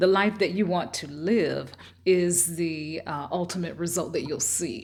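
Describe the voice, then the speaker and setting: In a Southern US accent, a woman speaks fairly slowly with a fairly low pitch and vocal fry, and the room echo is audible. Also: ordinary pitch variation. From US South. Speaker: self-help video host. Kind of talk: motivational talk.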